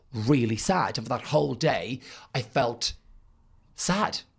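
A somewhat breathy voice with an Irish accent comes through in a very clean recording with a silent background. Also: man. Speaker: podcast host. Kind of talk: interview conversation.

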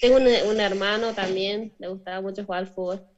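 A woman speaks with a northern Argentine accent and ordinary pitch variation. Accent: Argentine Spanish (northern, Chaco). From northern Argentina, Chaco province. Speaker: professional footballer. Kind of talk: interview. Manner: halting.

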